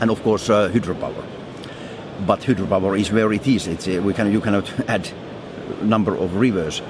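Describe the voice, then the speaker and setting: A man with a Finnish accent speaks at a moderate pace in a fairly low voice, with fairly even intonation. There are long, frequent pauses and noticeable background noise. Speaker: foundry managing director. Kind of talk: interview. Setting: trade fair. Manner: halting, with repetitions.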